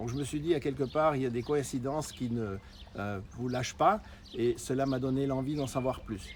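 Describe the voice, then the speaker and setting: Speaking at a moderate pace, a man with a medium pitch uses ordinary variation in his pitch. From Switzerland. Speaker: marketing presenter, former diving professional. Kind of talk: sales pitch. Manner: hesitant, many fillers.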